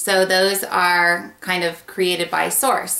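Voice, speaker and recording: A woman speaks with audible room echo around her voice. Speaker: intuition teacher. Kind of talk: explanatory vlog talk. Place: home room. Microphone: webcam.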